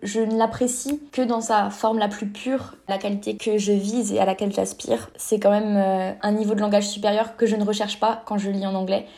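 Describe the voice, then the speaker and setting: Speaking at a moderate pace with hardly any pauses, a woman delivers her words in a monotone, flat intonation, her medium-pitched voice carrying a dark, mellow tone. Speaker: fanfiction writer. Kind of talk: casual interview.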